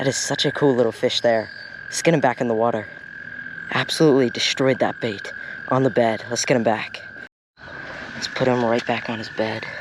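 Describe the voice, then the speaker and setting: Quiet speech comes at a fairly quick pace with long, frequent pauses, over noticeable background noise. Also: man. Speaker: fishing vlogger. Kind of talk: casual vlog narration. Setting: outdoors at a pond. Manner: quiet talking.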